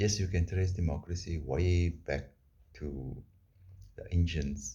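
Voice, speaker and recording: A man's very deep, low voice with vocal fry, ordinary pitch variation and a fairly slow pace. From South Africa. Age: 60s. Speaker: vlogger. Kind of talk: opinion monologue.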